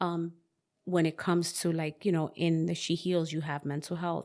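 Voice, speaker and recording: On a very clean recording with a silent background, a woman with an American accent speaks at a moderate pace in a fairly low pitch. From New York, the Bronx. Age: 40s. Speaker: author. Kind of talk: interview. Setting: sunroom.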